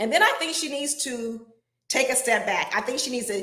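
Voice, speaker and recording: A loud woman talks at a fairly quick pace in an animated tone. Audible room echo surrounds her voice. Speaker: relationship advice show host. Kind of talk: live stream advice talk. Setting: live broadcast.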